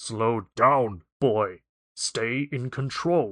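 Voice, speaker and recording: Putting on a character voice, a man rumbles at a medium pitch. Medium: read story. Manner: hearty, good-humored.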